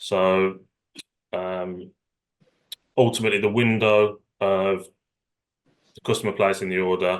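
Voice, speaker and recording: In a Birmingham accent, a man with a fairly low pitch speaks at a fairly slow pace in a flat monotone, leaving long, frequent pauses. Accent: Birmingham (Brummie). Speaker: retail executive. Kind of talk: webinar panel discussion.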